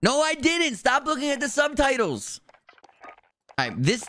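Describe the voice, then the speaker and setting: A man speaks in an animated tone with an American accent, the sound dry with no echo. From New Jersey. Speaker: video game streamer. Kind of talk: live gameplay stream chat. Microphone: studio mic.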